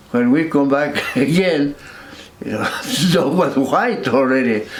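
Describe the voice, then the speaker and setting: A man talks at a very slow pace. Audible room echo and noticeable background noise surround his voice. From northern New Mexico (Peñasco). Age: 80s+. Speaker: war veteran. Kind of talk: interview. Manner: halting.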